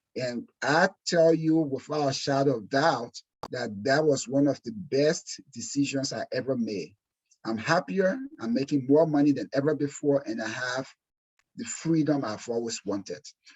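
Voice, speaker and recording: Speaking at a moderate pace with an African accent, a man uses a fairly high pitch and ordinary pitch variation. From Liberia, West Africa. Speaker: insurance exam prep instructor. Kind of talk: webinar presentation. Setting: webinar. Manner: animated.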